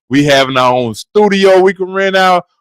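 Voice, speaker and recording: A man speaks in a bright, sharp tone with lively intonation. The sound is dry and close, with no echo. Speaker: sports podcast co-host. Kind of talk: casual chat. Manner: sometimes hard to understand.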